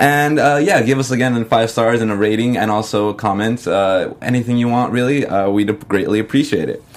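A man with an ordinary speaking voice, at a medium pitch and a moderate pace, with ordinary pitch variation and hardly any pauses. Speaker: podcast host. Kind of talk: casual chat.

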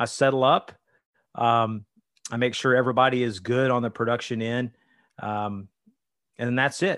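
A man speaks at a moderate pace in a medium pitch with fairly even intonation and long, frequent pauses. The recording has a quiet background and a dry, close sound with no echo. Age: 40s. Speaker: tour manager for a country singer, former district manager. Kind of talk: casual interview chat.

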